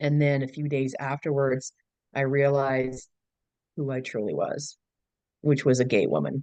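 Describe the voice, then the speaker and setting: With fairly even intonation, a woman speaks in a very deep, low voice that sounds dry and close with no echo. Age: 60s. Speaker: relationship coach. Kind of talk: interview.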